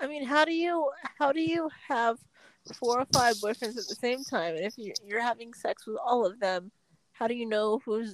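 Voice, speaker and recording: At a moderate pace and a fairly high pitch, a woman speaks in a normal speaking voice, captured with a dry, close sound and no echo. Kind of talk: casual chat.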